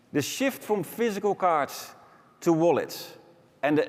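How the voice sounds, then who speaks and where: A man speaks with a Dutch accent at a moderate pace, his pitch high and swinging very widely. Noticeable background noise sits behind him. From Netherlands. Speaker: business executive. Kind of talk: conference keynote.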